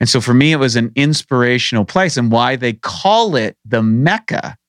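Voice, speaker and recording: A man's plain, everyday voice at a medium pitch, with ordinary pitch variation, a fairly slow pace, and a dry, close sound with no echo. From rural Canada. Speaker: bodybuilding champion and supplement company founder. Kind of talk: interview.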